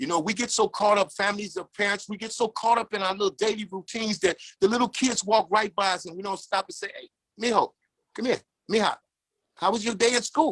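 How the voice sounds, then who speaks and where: Talking at a very fast pace, a man uses an animated tone, high pitch, and ordinary pitch variation. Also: dry, close sound with no echo. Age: 60s. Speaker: former prisoner. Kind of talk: testimony. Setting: video call.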